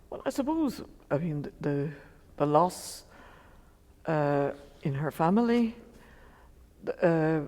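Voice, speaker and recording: In an Irish accent, a dark, mellow voice moves at a very slow pace with long, frequent pauses, lively intonation and big swings in loudness, on a very clean recording with a silent background. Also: woman, fairly low pitch for a woman. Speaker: poet, daughter of the author discussed. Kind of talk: interview on stage. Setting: library seminar with audience.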